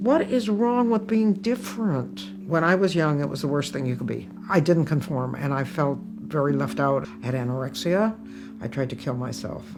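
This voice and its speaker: A woman with an American accent and a very deep, low pitch speaks at a moderate pace with very wide pitch swings, amid audible room echo and music in the background. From US Midwest, Toledo, Ohio. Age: 80s+. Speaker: comedian. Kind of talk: interview with stand-up excerpts.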